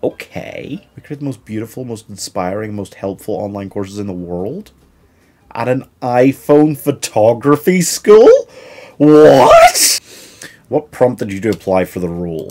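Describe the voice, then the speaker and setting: In a British accent, a man talks at a fairly slow pace in an animated tone against a quiet background. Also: lively intonation, big swings in loudness. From United Kingdom. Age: 20s. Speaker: YouTuber and job seeker; YouTuber. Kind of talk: comedic vlog. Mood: weary, sarcastic, frustrated. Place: home room.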